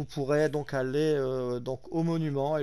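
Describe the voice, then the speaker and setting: This man speaks at a fairly slow pace in a fairly high voice, his tone dark and mellow and his intonation flat and monotone. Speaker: gaming YouTuber. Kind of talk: gameplay commentary. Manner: halting.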